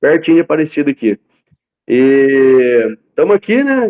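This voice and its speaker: A man with a plain, everyday voice. His pitch sits fairly high, with ordinary pitch variation. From interior of São Paulo state, Brazil. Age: 20s. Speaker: concrete block factory owner. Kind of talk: interview. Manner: casual, rambling storytelling.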